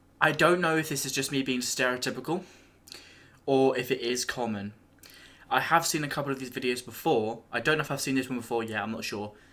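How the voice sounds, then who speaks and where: Very fast speech in an English accent, with ordinary pitch variation, a bright, sharp tone, and a very clean recording over a silent background. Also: man, medium pitch for a man. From England. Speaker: YouTube reaction video creator. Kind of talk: casual video reaction commentary.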